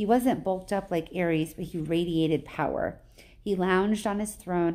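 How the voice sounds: This clip features a natural reading voice.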